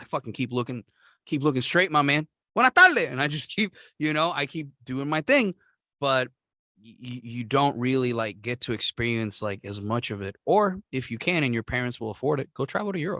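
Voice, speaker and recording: With a Puerto Rican accent, a man at medium pitch speaks at a fairly quick pace in a bright, sharp tone, using lively intonation and big swings in loudness, against a quiet background with a dry, close sound and no echo. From Puerto Rico. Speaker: podcast host. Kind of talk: casual chat.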